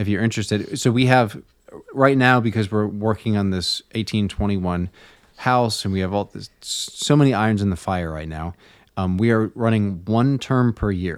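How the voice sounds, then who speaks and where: A man with a normal speaking voice talks at a moderate pace and a fairly low pitch, with ordinary pitch variation. The recording is very clean, with a silent background. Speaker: magazine podcast host. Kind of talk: casual conversation.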